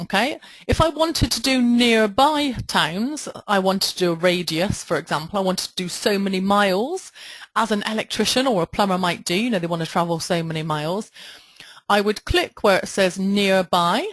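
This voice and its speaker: A woman in a Bristol accent at medium pitch, moderate pace and lively intonation. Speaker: online marketing trainer. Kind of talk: webinar tutorial. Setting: webinar with screen share.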